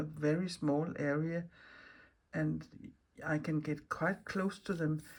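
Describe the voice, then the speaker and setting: A somewhat breathy voice with a Danish accent, at a very slow pace and with fairly even intonation. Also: woman. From Denmark. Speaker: mixed media artist, craft video maker. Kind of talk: casual craft vlog talk. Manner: halting, with fillers and restarts.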